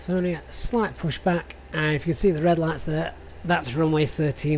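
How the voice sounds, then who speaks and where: Speaking at a fairly quick pace, a woman with a strong northern English accent has a very deep, low voice. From northern England, near Sheffield. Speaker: flight sim streamer. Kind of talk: live stream commentary. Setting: live stream. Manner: halting.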